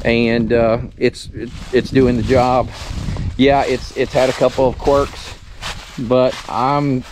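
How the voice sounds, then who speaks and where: Over light background noise, a man speaks in a monotone at a very slow pace with long, frequent pauses, his flat intonation heard in a dry sound with no echo. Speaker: homestead tractor owner. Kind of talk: casual vlog chat. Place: garden. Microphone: phone near.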